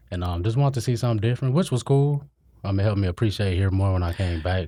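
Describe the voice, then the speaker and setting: A very fast, somewhat breathy male voice, fairly low in pitch, with a dark, mellow tone and ordinary pitch variation. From Illinois, Kankakee. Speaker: podcast co-host. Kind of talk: casual chat. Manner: hesitant, many fillers.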